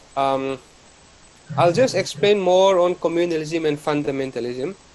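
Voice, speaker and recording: A fairly high-pitched man's voice at a fairly slow pace, with noticeable background noise. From Northeast India, Mizoram. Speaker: college lecturer. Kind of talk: lecture.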